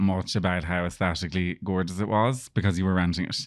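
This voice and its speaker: In an Irish accent, a man with a very deep, low pitch talks at a fairly quick pace on a very clean recording with a silent background. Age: 30s. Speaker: PR business owner. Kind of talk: casual interview chat.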